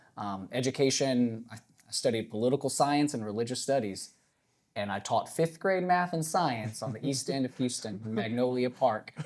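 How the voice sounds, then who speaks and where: A plain, everyday voice from a man with an American accent, medium in pitch, with ordinary pitch variation and a moderate pace. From North Carolina. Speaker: school principal, former teacher. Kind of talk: live podcast conversation before audience. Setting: live podcast in church with audience.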